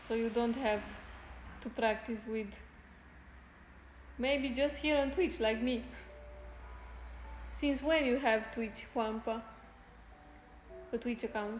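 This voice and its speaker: A woman with a fairly high pitch speaks at a very slow pace with long, frequent pauses. Her intonation is fairly even, and audible room echo is present. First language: Spanish. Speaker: fitness streamer. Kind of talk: casual chat. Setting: live stream. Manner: halting.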